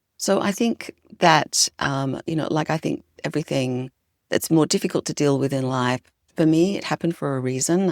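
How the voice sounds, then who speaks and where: With a slight Australian accent, a woman speaks at a moderate pace in a very deep, low voice with vocal fry. Her pitch variation is ordinary, and the sound is dry and close with no echo. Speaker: leadership consultant and author. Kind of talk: podcast interview.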